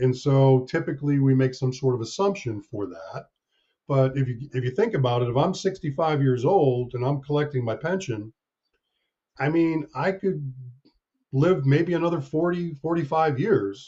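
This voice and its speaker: A man with an American accent speaks at a moderate pace, somewhat breathy. His pitch is fairly high and varies in an ordinary way. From US Northeast, near Hartford, Connecticut. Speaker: actuary. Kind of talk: podcast interview.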